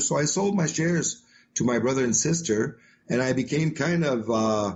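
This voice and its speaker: A man's fairly high, somewhat breathy voice with a French-Canadian accent and ordinary pitch variation. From Quebec, Canada. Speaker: author and motivational speaker. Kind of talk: podcast interview.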